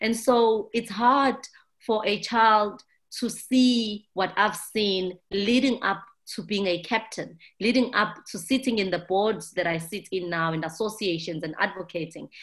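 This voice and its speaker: A woman with a South African accent, medium pitch and a fairly slow pace. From South Africa, township. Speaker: ship captain, maritime advocate. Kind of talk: interview answers, conversational. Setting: remote recording, video call.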